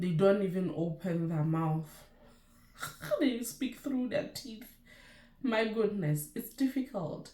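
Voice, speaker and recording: With a Lesotho accent, a woman of medium pitch speaks at a very slow pace, her dark, mellow, somewhat breathy voice making very wide pitch swings between long, frequent pauses. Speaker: nurse and YouTuber. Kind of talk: casual vlog chat.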